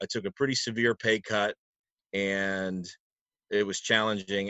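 An ordinary speaking voice from a man with an American accent, at a moderate pace. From New Jersey, US. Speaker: event announcer and trivia host. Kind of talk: casual interview chat.

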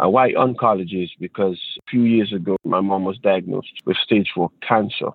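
Speaking at a moderate pace with an Antiguan accent, a man keeps his fairly low voice fairly even and leaves hardly any pauses. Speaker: steel pan musician and teacher. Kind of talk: interview.

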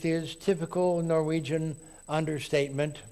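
The speech moves at a moderate pace in an American accent. The recording is very clean, and the background is silent. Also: man. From Texas. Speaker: lay preacher at a Unitarian congregation. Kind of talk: sermon.

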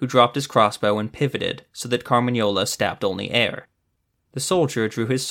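Over a quiet background, the voice reads aloud plainly with ordinary pitch variation.

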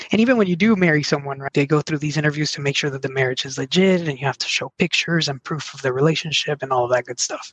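With a Spanish accent and hardly any pauses, a man speaks very fast in a fairly high voice, the sound dry and close with no echo. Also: ordinary pitch variation. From Mexico, then southwest Virginia from age 11. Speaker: sales and service trainer. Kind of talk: interview conversation.

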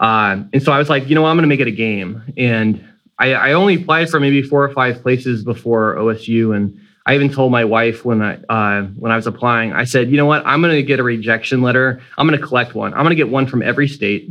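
A man with an American accent talks at a very fast pace and medium pitch, with ordinary pitch variation and very even loudness. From Florida, US (Sanford, near Orlando). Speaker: music professor, trumpet player. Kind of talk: casual interview conversation.

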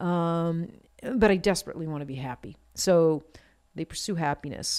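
A woman with an American accent and a normal speaking voice talks at a fairly slow pace with ordinary pitch variation, on a very clean recording with a silent background. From Maine, US. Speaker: podcast host, tattoo artist. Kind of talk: casual chat. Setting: studio. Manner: chatty, filler-heavy.

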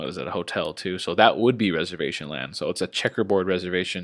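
Relaxed, very deep, low-pitched man with a Californian accent, ordinary pitch variation and a moderate pace, over a very clean, silent background. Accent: Californian American English. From Southern California (Palm Springs). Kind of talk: casual monologue. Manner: relaxed, with many fillers.

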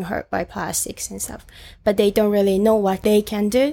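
A woman speaks with a Japanese accent at a medium pitch. Her intonation is monotone and flat. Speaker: student volunteer for an ocean charity. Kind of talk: interview. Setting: recorded on a roof, in person.

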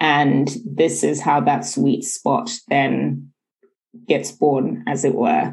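A woman speaks very slowly, her loudness staying very even throughout. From United Kingdom, with some schooling in Zimbabwe. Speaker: management consultant and entrepreneur. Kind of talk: interview conversation.

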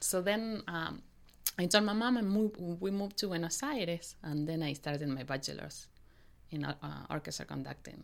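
In a Spanish accent, a woman talks at a moderate pace. Her pitch is fairly low and her intonation lively. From Argentina, Mendoza. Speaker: opera conductor and pianist. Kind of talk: interview. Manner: halting.

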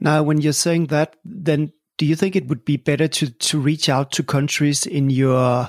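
A man with a Danish accent speaks at a fairly high pitch, his voice dry and close with no echo. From Denmark. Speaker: podcast host. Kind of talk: interview; scripted intro.

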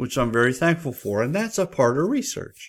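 A man with an American accent in an ordinary speaking voice, fairly quick, with ordinary pitch variation, on a very clean recording with a silent background. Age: 60s. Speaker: nurse and health and safety podcaster. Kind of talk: solo educational podcast talk. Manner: conversational, informal, with fillers.

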